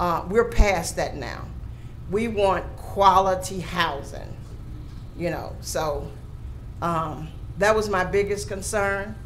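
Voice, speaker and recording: A woman with a Southern US accent, very slow pace, long and frequent pauses, and light background noise. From Louisiana. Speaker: commission board member; member of the public giving comment. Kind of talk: public meeting debate. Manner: animated. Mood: earnest, mildly frustrated. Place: hall. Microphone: podium.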